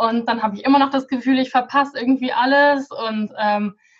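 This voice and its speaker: Speaking at a fairly quick pace, a woman uses a high pitch and fairly even intonation. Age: 20s. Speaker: Pinterest consultant and coach. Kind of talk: podcast interview.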